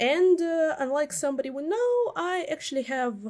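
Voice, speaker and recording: Very wide pitch swings mark a woman's speech in a Russian accent. Her pace is fairly slow. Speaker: commentary YouTuber. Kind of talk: video essay commentary. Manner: hesitant, many fillers.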